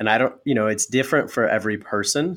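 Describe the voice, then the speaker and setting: A man with an American accent has an ordinary speaking voice at a fairly low pitch with ordinary pitch variation. The recording is very clean, with a silent background. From Wyoming, US. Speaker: podcast host. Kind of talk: interview.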